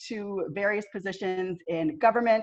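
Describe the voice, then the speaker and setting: Moderate pacing and ordinary pitch variation with a slight Southern US accent. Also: woman. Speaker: army veteran and consultant. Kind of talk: panel discussion.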